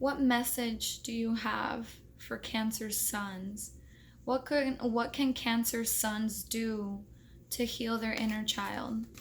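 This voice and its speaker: A woman at a fairly high pitch, somewhat breathy, with monotone, flat intonation and a very slow pace. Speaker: tarot reader. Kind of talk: tarot reading vlog. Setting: hotel room.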